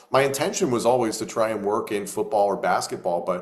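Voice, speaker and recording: With an energetic tone and very wide pitch swings, a man speaks at a fairly quick pace over noticeable background noise. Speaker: wrestling play-by-play commentator. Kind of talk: interview answer. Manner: energetic, conversational.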